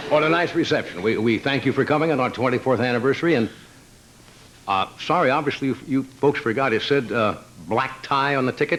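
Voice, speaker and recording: A man's plain, everyday voice at medium pitch, fairly quick pace, very even loudness, ordinary pitch variation. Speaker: talk show host doing a stand-up monologue. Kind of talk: live late-night monologue to a studio audience. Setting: live studio audience.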